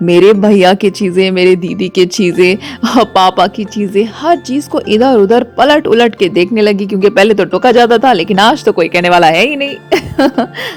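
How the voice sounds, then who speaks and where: The speaker talks with hardly any pauses, in an animated tone with lively intonation. Music plays in the background. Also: woman, medium pitch for a woman. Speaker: radio jockey / storyteller. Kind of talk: radio storytelling, first-person narration with sound effects. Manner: expressive, animated, conversational.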